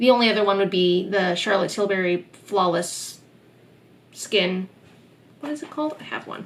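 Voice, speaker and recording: At a moderate pace and medium pitch, a woman talks with ordinary pitch variation, big swings in loudness, and long, frequent pauses over noticeable background noise. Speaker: beauty YouTuber. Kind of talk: product review vlog. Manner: casual, filler words.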